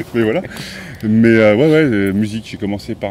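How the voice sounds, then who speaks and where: A man's fairly low-pitched voice comes through with noticeable noise behind it. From central France, Auvergne (Moulins area). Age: 30s. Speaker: motorcycle vlogger. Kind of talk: interview.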